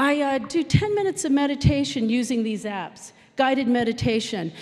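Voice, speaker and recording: A woman talks at a moderate pace in a high voice with lively intonation. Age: 50s. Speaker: software developer; conference speaker. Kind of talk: conference talk. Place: stage. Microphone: handheld.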